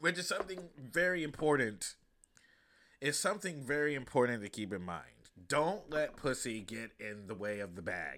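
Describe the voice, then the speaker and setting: Showing vocal fry and a bright, sharp tone, a man of medium pitch talks at a moderate pace with very wide pitch swings. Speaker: stand-up comedian and podcast host. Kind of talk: casual solo podcast monologue. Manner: casual, many fillers.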